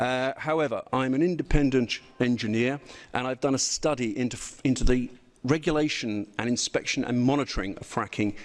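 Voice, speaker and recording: Against a quiet background, a man with a British accent speaks at medium pitch with ordinary pitch variation. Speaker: engineer. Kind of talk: presentation. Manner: fast.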